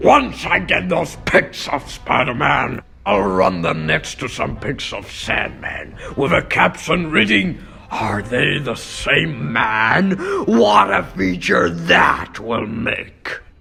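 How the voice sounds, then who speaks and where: Over music in the background, a raspy put-on character voice swings very widely in pitch at a very slow pace. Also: man, medium pitch for a man. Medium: dub. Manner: loud, blustering.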